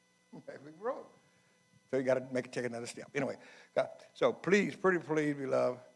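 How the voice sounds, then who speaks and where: Music plays in the background while the speaker talks at a very fast pace, with big swings in loudness. Long pauses come often. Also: man. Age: 70s. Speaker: health speaker at men's conference. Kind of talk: talk to a church men's group.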